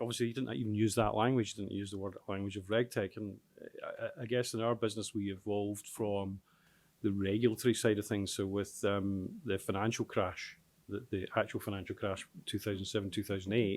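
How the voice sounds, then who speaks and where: Big swings in loudness run through a man's fairly low-pitched voice as he talks at a fairly quick pace. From Scotland, Glasgow. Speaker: tech company founder and chief executive. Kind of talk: panel discussion. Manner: hesitant, many fillers.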